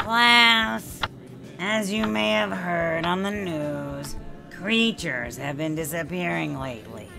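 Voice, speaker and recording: A cartoonish character voice speaks at a middle pitch and a fairly slow pace. Background noise is clearly audible. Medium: puppet show.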